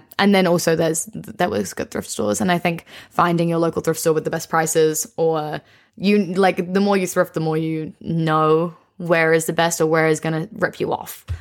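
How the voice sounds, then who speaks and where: With a New Zealand accent, a woman talks at a fairly low pitch and moderate pace. Her pitch varies in an ordinary way, on a very clean recording with a silent background. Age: 20s. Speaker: young entrepreneur and content creator. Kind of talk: casual interview chat.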